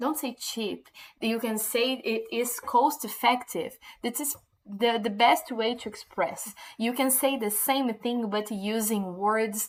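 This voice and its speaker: At a very slow pace, a woman with a Portuguese accent speaks at a fairly high pitch with ordinary pitch variation. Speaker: English teacher. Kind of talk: tutorial. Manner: halting, many fillers and repetitions.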